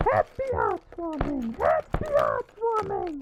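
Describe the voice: A put-on character voice at a slow pace, full of very wide pitch swings.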